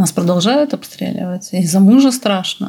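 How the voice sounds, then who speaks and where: Somewhat breathy and dark, mellow in tone, a woman with a medium pitch speaks fairly slowly with lively intonation. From Belarus. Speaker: psychoanalyst. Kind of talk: interview.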